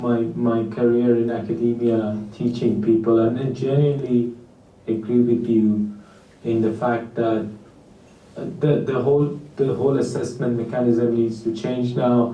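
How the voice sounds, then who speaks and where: A man with a non-native accent speaks at a fairly slow pace and a medium pitch, his intonation fairly even, with audible room echo. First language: not English. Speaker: academic, tech panel expert. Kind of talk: panel discussion. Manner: halting, many repetitions.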